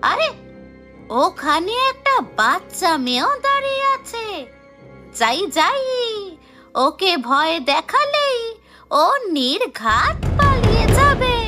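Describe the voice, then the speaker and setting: With clear music in the background, a female-sounding voice in a cartoonish character voice speaks very slowly at an extremely high pitch, swinging very widely in pitch. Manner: snappish, threatening.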